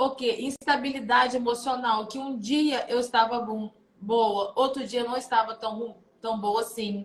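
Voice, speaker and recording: The intonation is monotone and flat. A woman with high pitch speaks at a fairly slow pace. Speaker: psychoanalyst hosting a live stream. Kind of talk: motivational live talk. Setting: online live stream.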